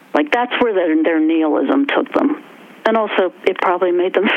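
Over noticeable background noise, a woman speaks at a moderate pace with very wide pitch swings and very even loudness. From West Virginia. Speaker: actor and performance artist. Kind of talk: casual interview conversation.

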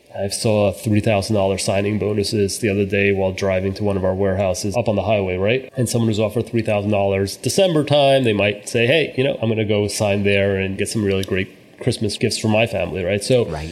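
A man with a fairly low pitch talks at a fairly quick pace with hardly any pauses. His intonation stays fairly even over noticeable background noise. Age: 40s. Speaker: company founder and CEO. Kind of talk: interview.

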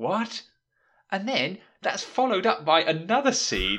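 A man speaks at a fairly slow pace in a British accent, his tone bright and sharp with vocal fry. The background is quiet. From Britain. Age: 20s. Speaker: podcast host. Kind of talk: casual chat.

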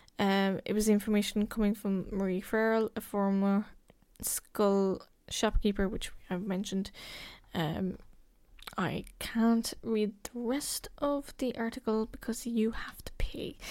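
In a very clean recording with a silent background, someone speaks at a fairly slow pace with a Cork accent. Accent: Cork Irish. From Ireland, County Cork. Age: 20s. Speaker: podcast host. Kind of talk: true crime narration. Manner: casual, hesitant with fillers.

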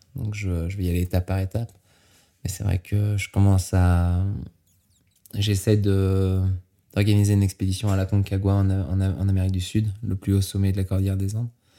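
A man's very deep, low voice with a dark, mellow tone, flat monotone delivery and a moderate pace. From France (Normandy, grew up partly Mont Blanc area). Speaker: extreme skier and base jumper. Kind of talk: interview.

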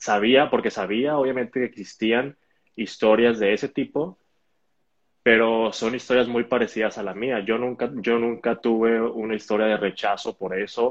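This man speaks at a moderate pace. His pitch is medium and his intonation fairly even. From Mexico, Hermosillo (Sonora). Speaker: elite roller skater. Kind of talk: online interview. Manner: hesitant, many repetitions.

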